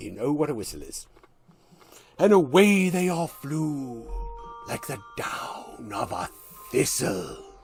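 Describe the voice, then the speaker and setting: A put-on character voice at a middle pitch and fairly slow pace, with faint music in the background. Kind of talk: poetry reading.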